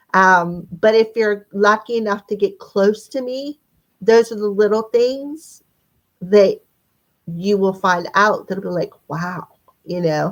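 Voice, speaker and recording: Her voice sits at a medium pitch and varies in an ordinary way. She talks very slowly. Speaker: tarot reader. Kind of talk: spiritual reading monologue. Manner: halting.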